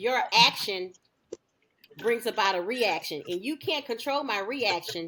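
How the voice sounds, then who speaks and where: The intonation is lively. The pace is fairly slow. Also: woman, fairly high pitch for a woman. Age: 40s. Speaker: podcast host. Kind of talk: casual chat. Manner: outspoken, loud.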